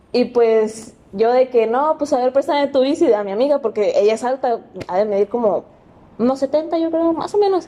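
A woman's voice sits high, moving at a moderate pace. She uses lively intonation. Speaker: podcast guest. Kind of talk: casual chat.

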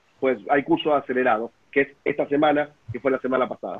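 A man talks in an unremarkable speaking voice at a moderate pace, his pitch fairly high. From Buenos Aires, Argentina. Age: 40s. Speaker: pastor. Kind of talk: casual panel discussion. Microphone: unstable internet connection.

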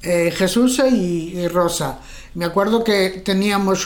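Noticeable background noise sits behind a woman whose fairly low pitch shows ordinary variation. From Spain, Galicia (Pontevedra area). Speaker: grandmother sharing life memories. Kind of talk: casual chat. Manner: halting.

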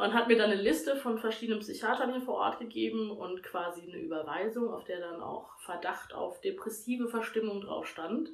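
A woman speaks at a fairly quick clip in a fairly high pitch, her intonation lively. Noticeable background noise runs beneath her. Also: hardly any pauses. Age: 20s. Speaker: podcast guest talking about her depression. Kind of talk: personal testimony in casual interview.

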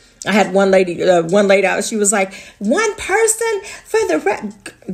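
Over noticeable background noise, a woman at medium pitch speaks at a moderate pace with very wide pitch swings. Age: 40s. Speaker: podcast host. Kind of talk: casual monologue. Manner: laughs often.

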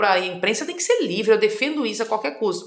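A woman with a fairly high pitch speaks with audible room echo. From Mato Grosso do Sul, Brazil (rural district, then Campo Grande). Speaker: politician, former federal deputy. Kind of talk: interview.

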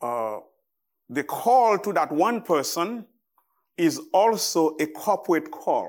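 A man with a Haitian accent and a high pitch talks very slowly with very wide pitch swings and long, frequent pauses on a very clean recording with a silent background. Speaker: visiting preacher. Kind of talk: sermon. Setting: church. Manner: halting, with frequent fillers.

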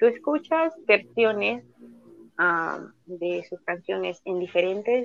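Very slow pacing from a woman. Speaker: guest, film enthusiast. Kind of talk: casual chat.

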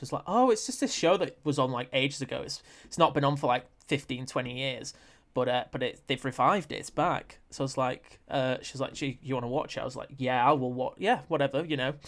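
Heard on a very clean recording with a silent background, a man with a plain, everyday voice speaks at a fairly quick pace, his fairly high pitch held in fairly even intonation. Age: 20s. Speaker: presenter and film critic. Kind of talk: casual chat.

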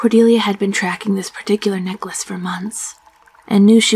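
Fairly even intonation in plain reading aloud

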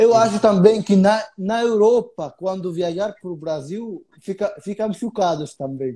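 With an Arabic accent, a man speaks at a fairly slow pace and high pitch, his dark, mellow tone carrying ordinary pitch variation and hardly any pauses. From Egypt. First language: Arabic (speaking Portuguese). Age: 20s. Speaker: tour guide. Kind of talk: casual interview. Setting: live stream.

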